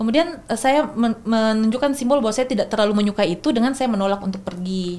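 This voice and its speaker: This woman's pitch is fairly high. She talks very fast. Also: ordinary pitch variation, hardly any pauses. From Makassar, South Sulawesi, Indonesia. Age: young. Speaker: researcher, religious moderation expert. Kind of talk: podcast interview explanation. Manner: hesitant, with fillers and restarts.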